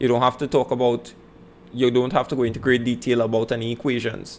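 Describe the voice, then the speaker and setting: A man with a Trinidadian accent, medium in pitch, at a fairly quick pace in a monotone, flat delivery. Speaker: teacher. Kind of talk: educational lecture.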